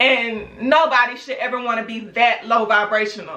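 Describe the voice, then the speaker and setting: A woman talks at a moderate pace with a high pitch and an animated tone. Noticeable background noise runs underneath. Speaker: YouTube vlogger. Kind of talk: opinion rant vlog. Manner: loud, yelling. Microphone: camera's built-in mic, no external microphone.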